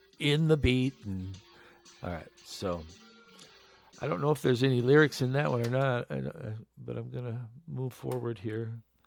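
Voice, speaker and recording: Music plays behind a man who speaks at a moderate pace and medium pitch with lively intonation and long, frequent pauses. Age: 60s. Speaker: podcaster and former band keyboardist. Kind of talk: casual monologue podcast. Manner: hesitant, many fillers and restarts.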